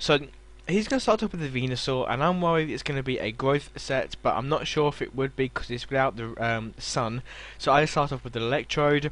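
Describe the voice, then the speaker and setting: Here a man speaks with a British accent at a fairly quick pace. His pitch is fairly high and its variation is ordinary. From Britain. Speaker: gaming YouTuber. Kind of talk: game commentary narration. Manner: hesitant with fillers.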